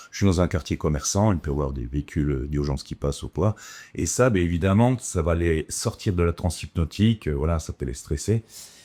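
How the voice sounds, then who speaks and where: In a very clean recording with a silent background and a dry, close sound with no echo, a man talks at a fairly quick pace in a very deep, low pitch, his dark, mellow tone carrying lively intonation. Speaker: hypnotherapist. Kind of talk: casual chat. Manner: calm, soothing; halting, many fillers.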